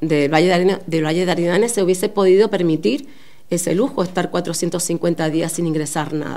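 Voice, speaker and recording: The pace is moderate and the pitch variation ordinary. Noticeable background noise runs underneath. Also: woman. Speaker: politician. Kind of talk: press conference statement. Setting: press conference.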